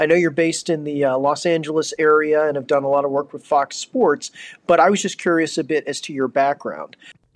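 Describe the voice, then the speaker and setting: A man talks at a fairly quick pace with a fairly high pitch and a plain, everyday voice. The sound is dry and close with no echo, against a quiet background. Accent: American. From Ohio, near Cleveland. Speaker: listener submitting mailbag message. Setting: recorded voicemail message.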